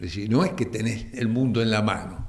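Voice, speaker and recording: Audible room echo surrounds a man speaking with a Rioplatense accent. He keeps a moderate pace. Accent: Argentine Rioplatense Spanish, voseo. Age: 70s. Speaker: retired biochemist. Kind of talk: TV interview. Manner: halting, repeats words.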